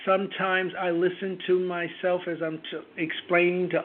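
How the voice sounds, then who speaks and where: The man's voice is high-pitched and delivered in a flat monotone. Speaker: theater producer and arts leader. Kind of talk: interview. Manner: relaxed.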